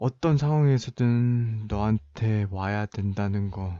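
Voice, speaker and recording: Over a quiet background, a man with a dark, mellow tone and ordinary pitch variation talks at a very slow pace. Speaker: ASMR roleplay creator. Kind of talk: roleplay of a couple's breakup argument, scripted-sounding. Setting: studio, close-mic ASMR. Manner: tense, firm, defensive yet controlled, reasoning with an upset girlfriend; frustrated, wounded, voice hardening toward the cold breakup.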